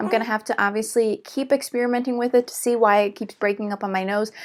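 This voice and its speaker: A woman with fairly high pitch talks at a fairly quick pace in a very clean recording with a silent background. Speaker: beauty vlogger. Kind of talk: product review and demo. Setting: holding sleeping baby in arms. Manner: fast.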